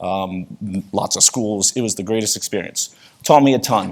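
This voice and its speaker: A man with a New York accent, fairly low in pitch, at a moderate pace. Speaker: conference speaker. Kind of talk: conference talk. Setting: stage with audience. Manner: casual, conversational.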